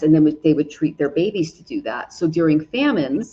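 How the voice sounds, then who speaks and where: A woman speaks in a plain, everyday voice, fairly low in pitch, with ordinary pitch variation. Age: 40s. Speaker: astrologer and tarot reader. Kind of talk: casual conversation.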